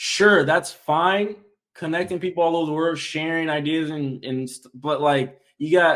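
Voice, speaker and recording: A man talks at a moderate pace and fairly high pitch with fairly even intonation. His is an ordinary speaking voice. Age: 20s. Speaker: active-duty soldier and content creator. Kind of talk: casual chat.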